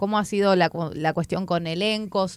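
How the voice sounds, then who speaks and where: A woman is speaking. The recording is very clean, with a silent background. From Chubut, Argentina. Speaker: podcast co-host, comedian. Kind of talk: casual chat. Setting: radio studio.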